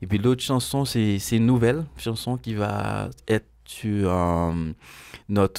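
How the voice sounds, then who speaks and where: Against a quiet background, a man speaks very slowly at a fairly low pitch with lively intonation. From Haiti. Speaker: musician; guest. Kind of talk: interview. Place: studio. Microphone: studio mic.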